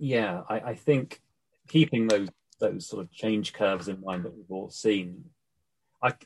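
Against a quiet background, a man with a British accent speaks at a fairly low pitch with ordinary pitch variation. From UK. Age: 40s. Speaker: life coach. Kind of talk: interview.

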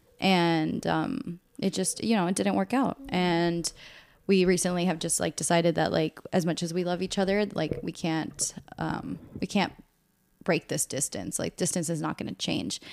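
In a very clean recording with a silent background, a woman with an American accent speaks at a moderate pace and fairly low pitch, with ordinary pitch variation and vocal fry. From US, Northern Virginia. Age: 20s. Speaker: podcast co-host. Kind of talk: casual chat.

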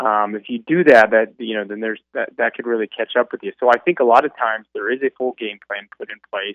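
A man with an unremarkable speaking voice talks at medium pitch with ordinary pitch variation. His loudness swings widely, and he hardly pauses. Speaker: former college football player. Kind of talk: radio interview. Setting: phone call.

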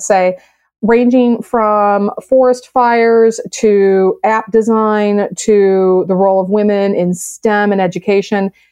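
Against a quiet background, a woman with an American accent speaks in a plain, everyday voice at medium pitch with fairly even intonation. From US Midwest, south side of Chicago. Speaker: science writer and STEM program director. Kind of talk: podcast interview.

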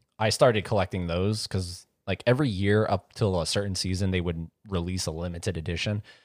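A man with a very deep, low pitch speaks at a fairly quick pace with hardly any pauses and fairly even intonation. The very clean recording has a silent background and a dry, close sound with no echo. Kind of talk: casual chat.

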